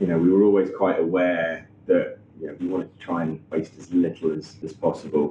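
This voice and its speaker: In a Norfolk accent, a man with a very deep, low voice talks fairly quickly with hardly any pauses, his flat, monotone delivery marked by big swings in loudness. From Norfolk, England. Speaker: chef and restaurant owner. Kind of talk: interview answer. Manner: hesitant, casual.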